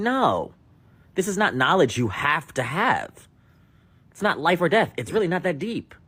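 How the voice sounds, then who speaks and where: Speaking at a moderate pace in an animated tone, a man with an American accent uses very wide pitch swings and vocal fry. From United States. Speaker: podcast host. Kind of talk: opinion rant.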